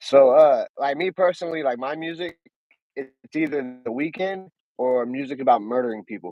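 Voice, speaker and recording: A man's normal speaking voice, fairly high in pitch, with ordinary pitch variation, a moderate pace and big swings in loudness. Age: 30s. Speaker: podcast host. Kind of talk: casual interview.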